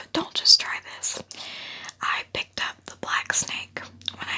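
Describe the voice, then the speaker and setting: Whispered words from a woman, moderately paced, over clearly audible background noise. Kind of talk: ASMR whispered educational talk about a pet snake. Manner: whispered, soft-spoken.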